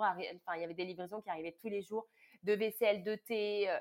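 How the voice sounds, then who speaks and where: Ordinary pitch variation and a medium pitch characterize a woman heard in a very clean recording with a silent background. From southern France, Cannes. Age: 30s. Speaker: tea business founder. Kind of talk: interview conversation. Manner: hesitant with repetitions.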